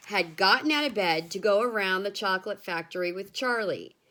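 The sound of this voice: The delivery is an unforced reading voice with ordinary pitch variation.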